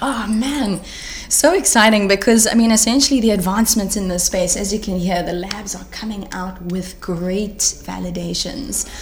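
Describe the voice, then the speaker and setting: With noticeable background noise and audible room echo, a woman speaks in an animated tone, her loudness swinging widely and her pitch varying in an ordinary way. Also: medium pitch for a woman, moderate pace. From South Africa. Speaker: health tech startup founder. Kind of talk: interview. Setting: live event.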